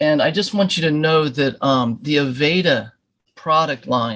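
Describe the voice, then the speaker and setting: A man's fairly high voice moves with ordinary pitch variation. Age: 60s. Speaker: graphic designer joining podcast. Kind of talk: casual interview question. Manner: halting.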